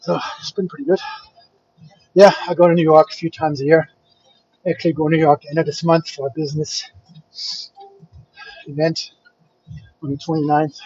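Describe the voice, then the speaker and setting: A man with a German accent speaks at a fairly quick pace in a fairly high pitch, his intonation fairly even and broken by long, frequent pauses. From Germany, Frankfurt. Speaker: fitness vlogger, bodybuilder. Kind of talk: casual chat with live stream viewers.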